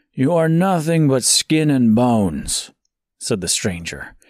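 A man's dramatic, calm voice with very wide pitch swings, on a very clean recording with a silent background. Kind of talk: literary audiobook reading, dark fantasy narration. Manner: measured, dramatic storytelling pace; shifts to a calm, gentle tone for the stranger's dialogue.

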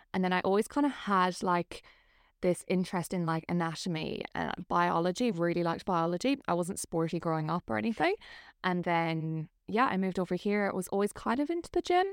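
A woman with a fairly low pitch talks at a fairly quick pace, in a dry, close sound with no echo and a very clean recording with a silent background. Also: ordinary pitch variation. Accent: Irish. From Ireland. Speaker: personal trainer. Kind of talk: casual chat.

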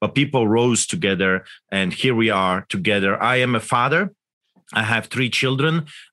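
With a Polish accent, the speaker keeps a moderate pace, very even loudness, and ordinary pitch variation. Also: man, medium pitch for a man. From Poland. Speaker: pastor. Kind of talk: interview. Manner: animated.

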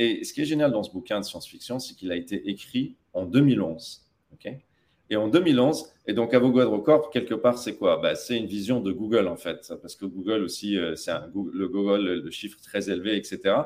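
With an unremarkable speaking voice at a medium pitch, a man talks at a moderate pace, using lively intonation and big swings in loudness. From Tunisia (Tataouine). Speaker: tech company CEO. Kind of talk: interview.

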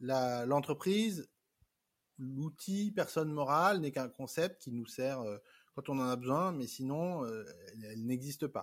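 Recorded very cleanly against a silent background, a man with a fairly high pitch talks fairly slowly, his intonation lively. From France. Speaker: entrepreneur. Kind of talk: interview. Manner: halting.

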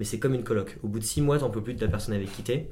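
Against audible room echo, a man with a medium pitch sounds somewhat breathy. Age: 20s. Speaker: optician and company co-founder. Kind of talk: casual chat.

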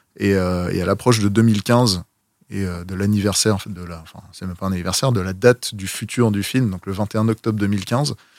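A man speaks at a moderate pace in an unremarkable speaking voice, pitched fairly low. His intonation stays fairly even while his loudness swings widely. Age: 30s. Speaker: film vehicle collector. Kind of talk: casual chat.

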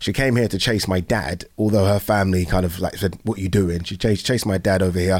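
Very fast speech in a southern English accent, with fairly even intonation and hardly any pauses. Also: man, very deep, low pitch for a man. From southern England (Brighton), Nigerian-born. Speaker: podcast host. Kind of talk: casual chat.

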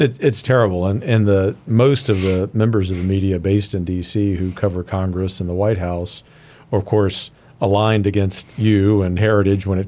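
A man's dark, mellow voice sits fairly low in pitch, moving at a fairly quick pace with fairly even intonation. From Louisiana. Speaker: podcast host, think tank head. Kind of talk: interview. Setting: studio.

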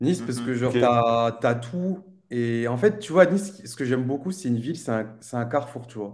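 In a normal speaking voice, someone talks at a fairly quick pace with lively intonation and big swings in loudness. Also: man, medium pitch for a man. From Réunion. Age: 20s. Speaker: streamer. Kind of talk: casual chat.

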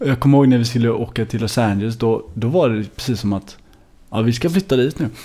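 A man's dark, mellow voice at a medium pitch, very fast in pace, with ordinary pitch variation. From Sweden, Gothenburg (Hammarkullen). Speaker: singer-songwriter. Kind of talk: casual interview.

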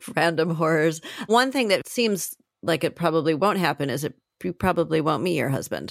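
With an American accent, a woman talks in a normal speaking voice, fairly low in pitch, fairly quick and with lively intonation. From US, Colorado. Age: 40s. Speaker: podcast host. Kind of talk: interview. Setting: video call.

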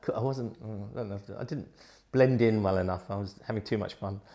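A man with a southern English accent speaks at a fairly low pitch, his intonation fairly even. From England, Gosport, Hampshire. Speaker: rock keyboard player. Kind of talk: casual chat.

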